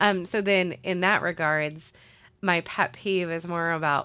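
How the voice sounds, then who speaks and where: A woman with an American accent speaks in a bright, sharp tone with ordinary pitch variation. The recording is very clean, with a silent background. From US Midwest, central Illinois. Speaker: city sustainability manager. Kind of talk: interview conversation. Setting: studio.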